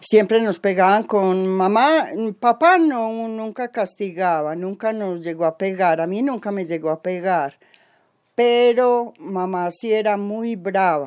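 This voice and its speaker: Recorded very cleanly against a silent background, a woman talks at a very slow pace with lively intonation. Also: medium pitch for a woman. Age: 60s. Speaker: rural woman interviewee. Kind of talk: oral history testimony.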